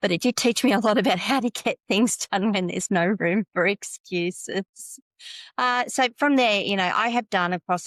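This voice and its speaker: In an Australian accent, a woman speaks at medium pitch with ordinary pitch variation and a moderate pace. The very clean recording has a silent background and a dry, close sound with no echo. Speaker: tech consultant. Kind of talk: podcast interview.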